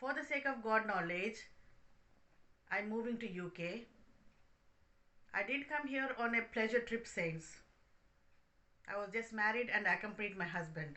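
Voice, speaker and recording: Speaking with a Telugu accent, a woman with a fairly high pitch leaves long, frequent pauses. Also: lively intonation, moderate pace. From India, Hyderabad. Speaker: spiritual speaker. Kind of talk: testimony.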